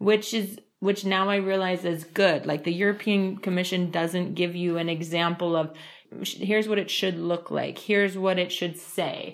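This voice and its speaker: This woman talks at a medium pitch and a moderate pace, her intonation monotone and flat. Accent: New York. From US, New York. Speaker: trainer. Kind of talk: casual interview.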